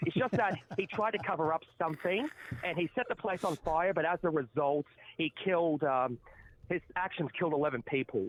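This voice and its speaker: A man speaks with a high pitch and lively intonation. The sound is dry and close, with no echo. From Australia, New South Wales. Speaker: call-in guest. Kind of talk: casual debate.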